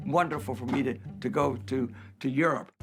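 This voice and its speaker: Very wide pitch swings at a fairly slow pace with an American accent, music in the background. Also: man. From Los Angeles, US. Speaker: interviewee recalling his life. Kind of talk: personal life story. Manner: halting.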